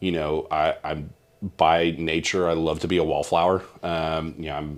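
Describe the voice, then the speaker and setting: A man with a very deep, low voice speaks at a moderate pace. His intonation is flat and monotone. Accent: Southern US. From Mississippi. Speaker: insurance broker. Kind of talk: interview. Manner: halting.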